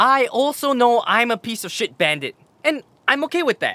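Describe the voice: Putting on a character voice, a man goes extremely high in pitch with big pitch swings and a bright, sharp tone. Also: moderate pace.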